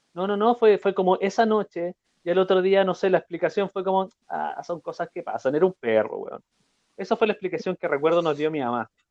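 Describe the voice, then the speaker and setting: A man with a high pitch talks at a fairly quick pace, the sound dry and close with no echo. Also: ordinary pitch variation. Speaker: podcast host. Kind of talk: casual chat.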